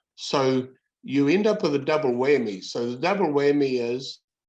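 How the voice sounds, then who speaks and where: Over a quiet background, a man talks with a New Zealand accent at a fairly slow pace. His pitch is fairly high. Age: 70s. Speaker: workplace bullying advocate. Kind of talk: interview. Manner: halting.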